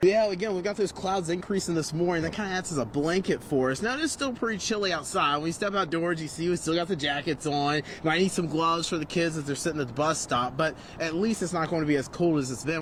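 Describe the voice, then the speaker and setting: Upbeat and very fast, a man speaks at a high pitch with ordinary pitch variation and hardly any pauses, over noticeable background noise. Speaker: television meteorologist. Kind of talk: TV weather forecast, live broadcast reel. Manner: casual, upbeat, conversational.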